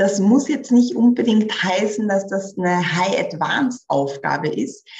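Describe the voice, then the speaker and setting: Her pace fairly slow and her intonation lively, a woman speaks in an unremarkable speaking voice. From rural village. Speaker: career coach. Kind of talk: podcast interview.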